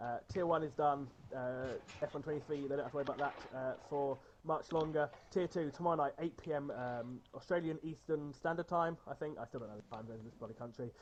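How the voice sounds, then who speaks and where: Talking very fast, this man has an English accent. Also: fairly high pitch for a man, ordinary pitch variation. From England. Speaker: esports race commentator. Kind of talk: stream sign-off chat. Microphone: wired headset, worse audio.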